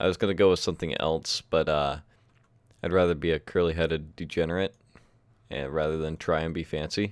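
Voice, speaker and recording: The speech moves at a fairly quick pace on a very clean recording with a silent background. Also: man. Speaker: gaming livestreamer. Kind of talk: casual gameplay livestream chat. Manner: loud.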